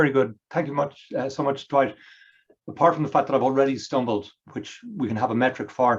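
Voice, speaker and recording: A man does a hoarse put-on character voice with an Irish accent as part of the act, at a medium pitch and with fairly even intonation. He talks at a very fast pace yet leaves long, frequent pauses. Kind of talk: formal, professional.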